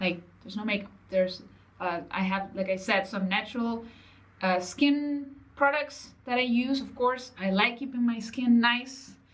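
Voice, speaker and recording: With a non-native accent and a fairly high pitch, a woman talks at a moderate pace amid audible room echo. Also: ordinary pitch variation. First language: not English. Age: 30s. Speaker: online business coach. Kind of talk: motivational vlog talk. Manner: casual, conversational.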